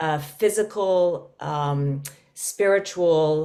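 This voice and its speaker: On a very clean recording with a silent background, a woman speaks at a very slow pace in a dark, mellow tone, her pitch very deep and low, with ordinary pitch variation. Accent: slight English. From London, England. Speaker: podcast co-host, yoga teacher. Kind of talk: casual chat.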